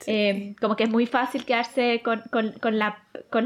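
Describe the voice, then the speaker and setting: A woman at a moderate pace. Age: 20s. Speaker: astronomy graduate student. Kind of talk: casual chat.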